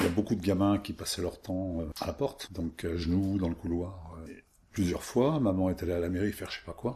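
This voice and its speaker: Somewhat breathy, a man speaks at a very deep, low pitch and a moderate pace, with ordinary pitch variation. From France, Isère. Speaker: villager recalling childhood. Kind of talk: oral history interview.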